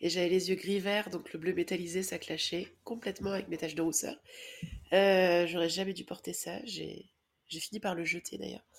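A woman's medium-pitched voice with vocal fry, at a moderate pace, in a monotone, flat intonation. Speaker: podcast co-host. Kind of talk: casual chat.

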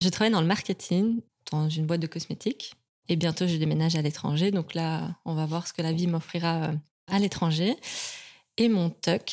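On a very clean recording with a silent background and a dry, close sound with no echo, a woman with an unremarkable speaking voice talks at a fairly low pitch and moderate pace with fairly even intonation. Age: 30s. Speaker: endometriosis patient and awareness advocate. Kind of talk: casual chat.

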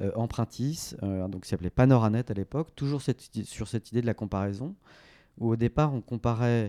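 Recorded very cleanly with a silent background and a dry, close sound with no echo, a man speaks at medium pitch with a dark, mellow tone and ordinary pitch variation. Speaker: venture capital investor and former entrepreneur. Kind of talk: interview conversation. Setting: coworking space office.

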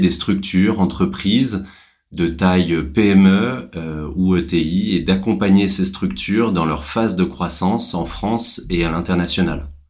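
A man speaks very slowly in a very deep, low voice. Audible room echo surrounds his words. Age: 30s. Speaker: social entrepreneur. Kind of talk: interview. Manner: halting.

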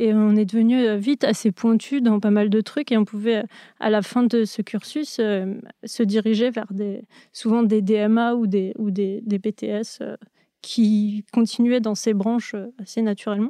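Against a quiet background, a woman speaks very slowly in a monotone, flat manner, her tone dark and mellow and the sound dry and close with no echo. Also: fairly high pitch for a woman. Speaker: animator and storyboard artist. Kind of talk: interview. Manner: halting.

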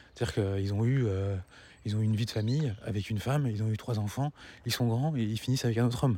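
Very fast and at very even loudness, a man speaks at medium pitch with ordinary pitch variation. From France, grew up in a housing estate. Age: 40s. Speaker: podcast host, parenting. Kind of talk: solo monologue podcast. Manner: fast, swallows words; soft-spoken late in recording.

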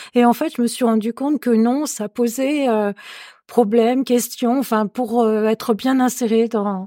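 Fairly slow and fairly high-pitched, a woman speaks with fairly even intonation and a dark, mellow tone in a dry, close sound with no echo, on a very clean recording with a silent background. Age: 60s. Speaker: retired career counsellor. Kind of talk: personal testimony. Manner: halting.

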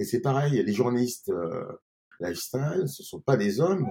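At a moderate pace, this somewhat breathy voice has a dark, mellow tone and very wide pitch swings. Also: man. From France, Grenoble. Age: 50s. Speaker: restaurant and bar owner. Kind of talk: interview. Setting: in his wine bar. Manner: halting, many repetitions.

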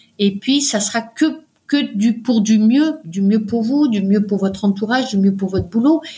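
A woman speaks in a dark, mellow tone that is somewhat breathy, fairly high in pitch and with ordinary pitch variation. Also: fairly slow pace. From France, Paris. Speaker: mountaineer and doctor. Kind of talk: interview. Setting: remote recording.

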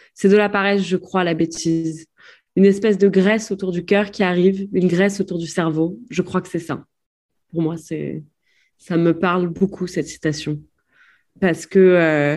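A woman speaks at a moderate pace in a fairly low pitch, with fairly even intonation. Long pauses come often, and the background is quiet. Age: 20s. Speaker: war photojournalist. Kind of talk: interview.

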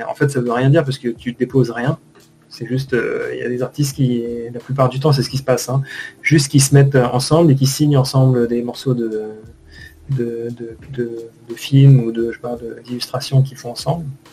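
There is noticeable background noise in this clip. Through it, a man talks with fairly even intonation. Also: medium pitch for a man, moderate pace. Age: 30s. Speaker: 2D animator. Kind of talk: casual interview. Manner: halting.

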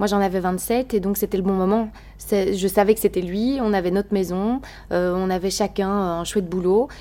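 Her tone dark and mellow, a woman speaks at a medium pitch and a moderate pace. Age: 30s. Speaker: radio and TV presenter. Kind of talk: casual interview. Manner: energetic.

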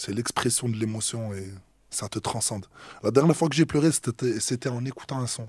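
On a very clean recording with a silent background, a man speaks at a medium pitch and fairly slow pace, somewhat breathy, with ordinary pitch variation. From Marseille, southern France. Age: 20s. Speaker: rapper. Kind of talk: interview. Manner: hesitant, with many fillers.

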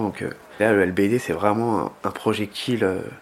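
Using a plain, everyday voice, a man speaks at a moderate pace with a fairly low pitch and fairly even intonation. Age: 20s. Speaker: injured protester. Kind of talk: testimony.

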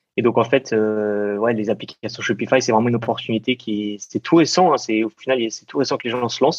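A man speaks at a medium pitch with ordinary pitch variation and hardly any pauses, in a dry, close recording with no echo. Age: 20s. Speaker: app developer and entrepreneur. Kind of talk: interview. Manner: hesitant, many fillers.

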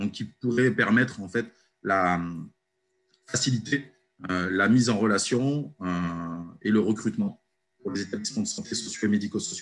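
A man at a fairly low pitch and moderate pace, with ordinary pitch variation, long, frequent pauses and a quiet background. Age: 30s. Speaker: company founder, former youth worker. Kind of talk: casual interview. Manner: hesitant with filler words.

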